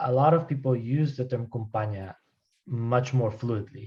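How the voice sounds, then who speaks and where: Somewhat breathy and dark, mellow in tone, a man talks at a moderate pace in a medium pitch with fairly even intonation. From Colombia. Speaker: anthropologist, lecturer. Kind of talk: academic Q&A answer. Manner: hesitant, many fillers and repetitions.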